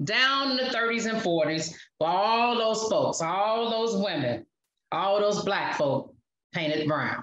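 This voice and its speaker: With an unremarkable speaking voice, a woman talks at a medium pitch and a fairly slow pace. Her intonation is lively and her loudness very even. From Chicago South Side. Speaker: podcast host, relationship coach. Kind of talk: spoken word poetry performance.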